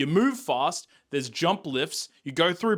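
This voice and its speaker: On a very clean recording with a silent background, a man with an Australian accent talks in an animated tone at a fairly high pitch. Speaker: gaming youtuber. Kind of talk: game review commentary. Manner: casual, animated.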